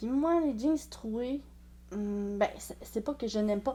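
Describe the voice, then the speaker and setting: Speaking fairly slowly in a Quebec accent, a woman has a dark, mellow tone that is somewhat breathy. Her intonation is lively. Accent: Québécois French. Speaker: sewing and clothing vlogger. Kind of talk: casual vlog monologue. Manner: hesitant, many fillers.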